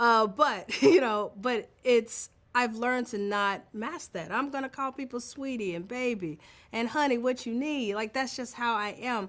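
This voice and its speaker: This woman's voice is high-pitched, moves through ordinary pitch variation, and keeps a fairly slow pace. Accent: American. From Mississippi, Tupelo. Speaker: film director. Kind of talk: interview.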